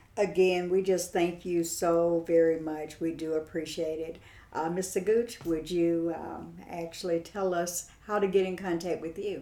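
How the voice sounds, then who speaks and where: Against noticeable background noise, a woman with a fairly low pitch talks at a fairly slow pace in a monotone, flat intonation, with hardly any pauses. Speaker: radio host. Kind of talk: radio show conversation.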